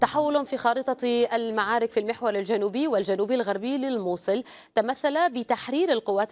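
Fairly high pitch from a woman, ordinary pitch variation, and a moderate pace. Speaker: news anchor. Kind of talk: news presenting and live interview. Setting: studio. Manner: formal. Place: studio.

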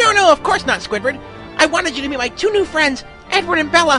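Someone talks very fast in a put-on character voice. Music plays clearly in the background. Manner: excited, squealing, giggly.

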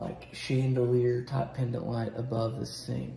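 Audible room echo and light background noise surround a man talking at a fairly slow pace. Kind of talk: casual walkthrough tour. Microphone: phone near.

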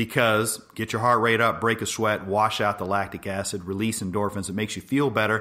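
Here a man talks with an American accent and a fairly low pitch. His tone is bright and sharp. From Los Angeles, US. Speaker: orthopedic spine surgeon. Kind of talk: health monologue podcast.

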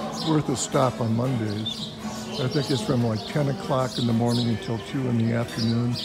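At a moderate pace, a man talks as music runs in the background. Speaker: visitor vlogger. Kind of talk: casual vlog chat. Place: cafe. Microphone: phone near.

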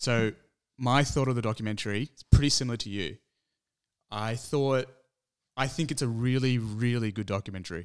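In an Australian accent, a man speaks at a fairly quick pace with ordinary pitch variation, taking long, frequent pauses. The background is quiet. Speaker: movie podcast co-host. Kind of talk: casual chat. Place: home room. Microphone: studio mic.

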